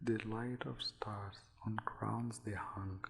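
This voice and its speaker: A soft-spoken man whispering at a very slow pace. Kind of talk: poetry reading. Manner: soft-spoken, whispered.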